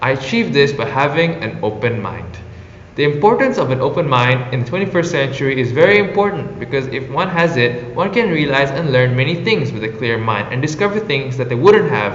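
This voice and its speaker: A man's fairly high voice with an Indonesian accent, fairly quick and lively in intonation, amid noticeable background noise and audible room echo. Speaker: former exchange intern. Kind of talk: prepared personal reflection. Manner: formal.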